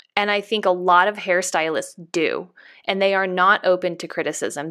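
The speaker has a plain, everyday voice with an American accent. The pace is moderate and the intonation fairly even. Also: woman. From Northern California. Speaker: hairstylist and educator. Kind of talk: interview.

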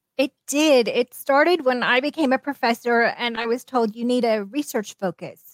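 Dry and close with no echo, this unremarkable speaking voice shows ordinary pitch variation. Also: woman. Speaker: professor and author. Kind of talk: interview.

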